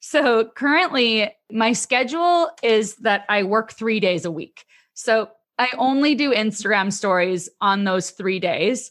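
A woman with a Canadian accent and an ordinary speaking voice, fairly high in pitch, lively in intonation, at a fairly slow pace, in a quiet background. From Canada. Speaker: email marketing expert. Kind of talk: casual interview chat.

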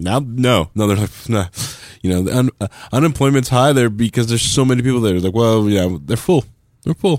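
With an unremarkable speaking voice, this man speaks at a fairly quick pace in a medium pitch, using lively intonation and very even loudness. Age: 30s. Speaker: podcast co-host. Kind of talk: casual chat.

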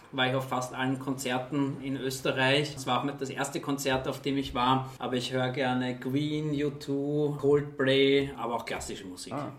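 With audible room echo and noticeable background noise, a man at medium pitch speaks in a monotone, flat way at a moderate pace with hardly any pauses. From Austria, Vienna. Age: 40s. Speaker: charity executive. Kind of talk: interview. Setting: office.

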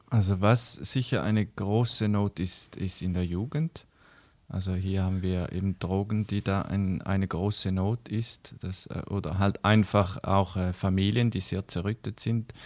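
The recording is very clean, with a silent background. Speech comes at a fairly slow pace with fairly even intonation. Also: man, fairly low pitch for a man. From eastern Switzerland, St. Gallen. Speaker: missionary organisation worker. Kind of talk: casual interview chat. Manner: hesitant, many fillers.

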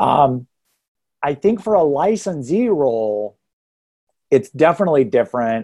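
In an American accent, a man speaks at a fairly high pitch with a dark, mellow tone and very wide pitch swings. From Texas. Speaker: real estate hiring consultant. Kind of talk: podcast interview.

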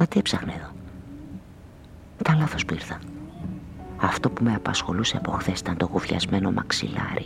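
Over faint background music, a man whispers in a put-on character voice with vocal fry. Long, frequent pauses break up his lines.

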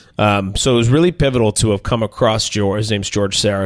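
A man's fairly low, normal speaking voice with an American accent and ordinary pitch variation, on a very clean recording with a silent background. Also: dry, close sound with no echo. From Minnesota. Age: 40s. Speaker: chef and restaurant owner. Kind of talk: interview conversation.

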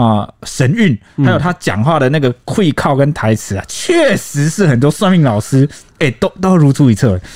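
The recording is dry and close with no echo as a man speaks at a fairly high pitch with very wide pitch swings. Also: moderate pace. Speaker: podcast co-host, news reporter. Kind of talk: casual discussion. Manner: wordy when explaining.

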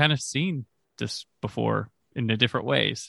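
Spoken at a moderate pace, the voice rises and falls with ordinary pitch variation. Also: man. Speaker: film podcaster. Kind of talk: casual chat.

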